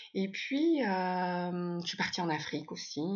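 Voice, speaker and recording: With ordinary pitch variation, a woman talks in a somewhat breathy voice pitched fairly low. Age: 50s. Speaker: yoga teacher and coach. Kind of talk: casual interview chat. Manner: halting, many hesitations.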